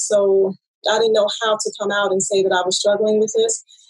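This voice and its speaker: Fairly high in pitch, this woman speaks at a moderate pace. Hers is an unremarkable speaking voice. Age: 30s. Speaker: author. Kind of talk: casual chat.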